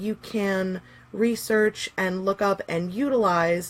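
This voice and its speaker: Her medium pitch and fairly even intonation belong to a woman using a normal speaking voice. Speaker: pagan teacher. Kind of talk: live stream workshop. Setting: live stream. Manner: casual with many fillers.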